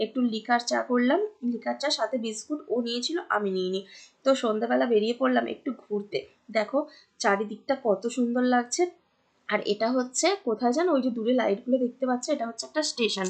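This woman's voice sits at a high pitch. Its pitch varies in an ordinary way. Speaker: vlogger. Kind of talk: vlog narration. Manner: casual, chatty; soft-spoken.

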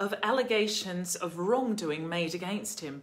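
The pitch swings very widely. The pace is moderate. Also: woman. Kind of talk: commentary. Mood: serious, concerned. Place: home room. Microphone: phone near.

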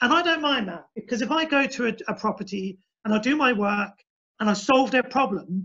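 With a bright, sharp tone, the voice moves at a moderate pace with ordinary pitch variation over a quiet background. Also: man. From Essex, England. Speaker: humane wildlife pest controller. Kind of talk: webinar presentation. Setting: online webinar with screen share. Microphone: video call.

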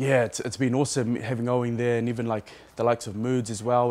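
At a fairly quick pace, a man speaks with flat, monotone intonation. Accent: New Zealand. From New Zealand. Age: 30s. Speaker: rugby player. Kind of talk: press conference interview. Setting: media session. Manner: hesitant, many fillers. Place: stadium. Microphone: handheld.

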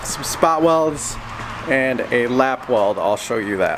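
Over noticeable background noise, a man talks at a very slow pace. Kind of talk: casual vlog tutorial. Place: garage. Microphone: phone near.

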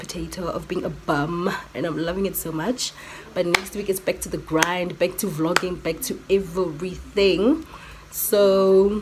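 The intonation stays fairly even. There is noticeable noise in the background. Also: woman. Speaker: vlogger. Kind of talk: casual vlog chat. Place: home room. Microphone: phone near.

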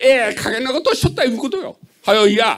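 In a quiet background, a man speaks at a fairly quick pace with lively intonation. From Japan. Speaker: citizen asking question. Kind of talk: audience question at public meeting. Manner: halting. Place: hall.

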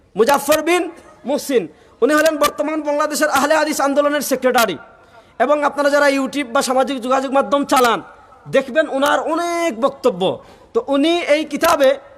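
The man's voice is extremely high in pitch. Noticeable background noise sits behind him. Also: ordinary pitch variation. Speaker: Islamic scholar. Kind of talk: religious lecture.

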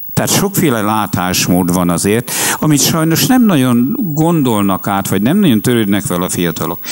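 The speaker keeps a moderate pace and very even loudness while the pitch swings very widely. Noticeable background noise runs underneath. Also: man, medium pitch for a man. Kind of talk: public talk.

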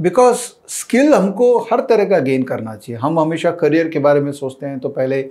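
With lively intonation, a man speaks in a dark, mellow tone. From India. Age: 40s. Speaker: finance educator and YouTuber; finance educator, YouTuber. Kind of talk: personal monologue to camera. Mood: warm, earnest. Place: studio. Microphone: lapel.

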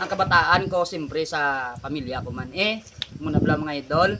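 A man talks fairly quickly, his pitch varying in an ordinary way, with noticeable noise in the background. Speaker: vlogger. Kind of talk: casual vlog talk to followers.

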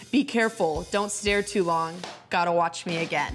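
A woman speaks with music in the background. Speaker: professional basketball player. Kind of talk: poetry reading. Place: studio. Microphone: handheld.

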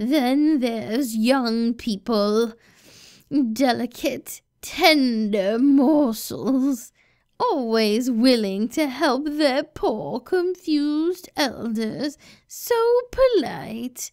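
A woman talks at a very slow pace. Her voice sits high in pitch. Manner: sweet grandmotherly turning menacing.

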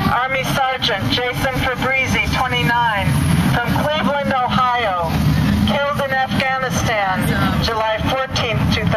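A man speaks at a fairly slow pace with ordinary pitch variation and long, frequent pauses. Loud background noise runs under the recording. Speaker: memorial name reader. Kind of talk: solemn reading of names. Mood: solemn, measured. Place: street.

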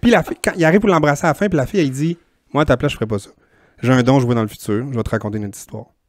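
Using lively intonation and a very fast pace, a man in a Quebec accent speaks at a fairly high pitch, the sound dry with no echo. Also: quiet background. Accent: Québécois French. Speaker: podcast co-host. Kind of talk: casual chat. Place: home room. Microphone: handheld.

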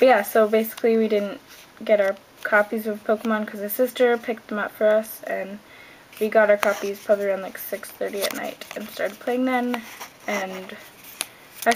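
A woman speaks quietly at a fairly quick pace, her fairly high pitch held in a flat monotone while her loudness swings widely over noticeable background noise. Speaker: vlogger. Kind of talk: casual talk to camera. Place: home room. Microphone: webcam.

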